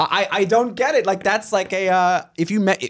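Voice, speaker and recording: Speaking in a New York accent, a man moves at a fairly quick pace. The recording is very clean, with a silent background. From Staten Island, New York. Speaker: comedian. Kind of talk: casual chat. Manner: halting.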